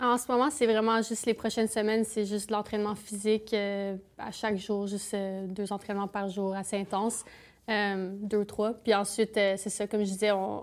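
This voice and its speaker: In a Canadian French accent, a woman talks at medium pitch. Her intonation is monotone and flat. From eastern Ontario. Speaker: Olympic alpine skier. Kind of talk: casual interview. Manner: fast.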